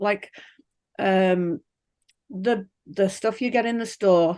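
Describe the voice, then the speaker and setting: The speaker has an English accent. The background is quiet. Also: woman. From England. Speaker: pig farmer. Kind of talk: interview. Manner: chatty.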